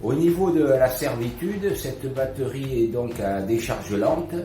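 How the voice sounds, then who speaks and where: Noticeable noise fills the background as this man talks. His voice carries an audible room echo. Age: 60s. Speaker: customer reviewing a product. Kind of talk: product review. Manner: hesitant, with frequent fillers.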